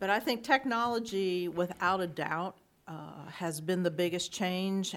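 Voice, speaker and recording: A woman speaks in a plain, everyday voice at a moderate pace, her pitch fairly low, on a very clean recording with a silent background. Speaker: judge. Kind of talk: casual conversation, interview.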